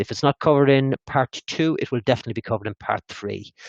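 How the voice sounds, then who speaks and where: The man's voice sits at a medium pitch with ordinary pitch variation. The sound is dry and close, with no echo. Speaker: software licensing consultant. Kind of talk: webinar presentation and Q&A. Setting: online webinar. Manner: fast.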